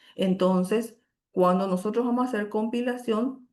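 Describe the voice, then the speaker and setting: Here a woman speaks with a dark, mellow tone. Her intonation stays fairly even. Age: 50s. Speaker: university lecturer. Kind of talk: lecture.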